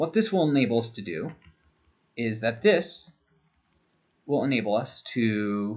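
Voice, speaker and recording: A soft-spoken man at a medium pitch talks at a fairly slow pace with lively intonation. He leaves long, frequent pauses. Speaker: university lecturer. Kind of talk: lecture. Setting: home.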